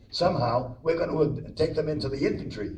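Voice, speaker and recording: With audible room echo, a man with an American accent talks very fast at a fairly high pitch with fairly even intonation. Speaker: World War II veteran navigator. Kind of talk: oral history talk.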